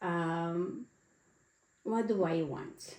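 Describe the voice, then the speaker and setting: Her voice has a dark, mellow tone and fairly low pitch, as a woman talks with a non-native accent. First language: not English. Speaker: podcast co-host. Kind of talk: casual chat.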